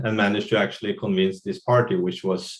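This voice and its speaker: A man with a Norwegian accent, pitched in the medium range. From Norway. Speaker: drug policy advocate. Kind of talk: webinar panel talk. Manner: halting.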